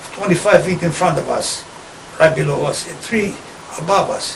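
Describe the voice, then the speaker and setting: A man with a high pitch and ordinary pitch variation talks at a moderate pace, noticeable background noise in the mix. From Italy. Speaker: war veteran. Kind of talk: interview answer.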